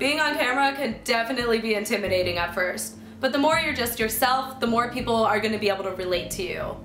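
A woman talks at a very fast pace with ordinary pitch variation. Audible room echo and faint background music surround her. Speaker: video host. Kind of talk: tutorial. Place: home room.

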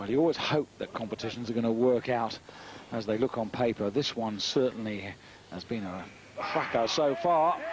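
Over noticeable background noise, a man talks at a moderate pace in a medium pitch with ordinary pitch variation. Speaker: sports commentator. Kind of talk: live sports commentary, play-by-play. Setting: broadcast commentary. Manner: brisk, informative, steady; measured, stats-heavy.

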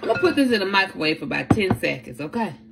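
A woman speaks at a medium pitch with a fairly bright tone and vocal fry. Her pitch swings widely.

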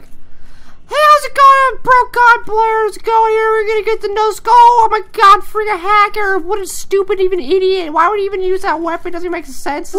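Using a put-on character voice, this speaker talks at an extremely high pitch and a moderate pace with hardly any pauses. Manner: annoyed, whiny, mocking.

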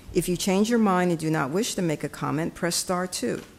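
A woman uses an ordinary speaking voice, talking at a moderate speed with ordinary pitch variation. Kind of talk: formal meeting announcements. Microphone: podium.

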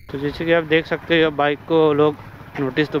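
A man at a moderate pace, monotone and flat in intonation, with a dry sound with no echo and noticeable background noise. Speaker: moto vlogger. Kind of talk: casual vlog chat. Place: motorbike. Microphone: lapel.

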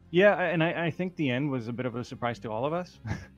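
There is music in the background as a man talks. He keeps a moderate pace with ordinary pitch variation. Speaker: esports player being interviewed. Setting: online voice chat lobby. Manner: low volume, needed turning up.

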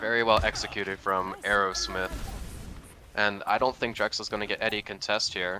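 Noticeable background noise runs under the recording. A man speaks in a fairly low voice with monotone, flat intonation. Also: moderate pace. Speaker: esports co-caster. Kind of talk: live commentary.

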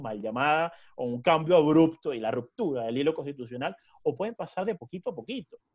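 A man's fairly high voice with a Venezuelan accent and very wide pitch swings, over a quiet background. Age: 20s. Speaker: lawyer and law lecturer; lawyer, law lecturer. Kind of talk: interview conversation. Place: home room. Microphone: webcam.

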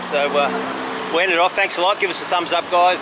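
Loud background noise fills the clip, though the sound itself is dry with no echo. A man talks over it at a moderate pace. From Australia. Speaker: travel vlogger. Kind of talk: casual vlog narration while walking. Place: street. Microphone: phone near.

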